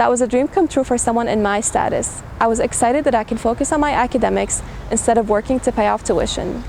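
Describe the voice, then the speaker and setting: A woman's fairly high voice at a very fast clip, with very even loudness and hardly any pauses, against noticeable background noise. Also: ordinary pitch variation. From Syria. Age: 20s. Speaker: graduating student and student government president. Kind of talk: commencement speech.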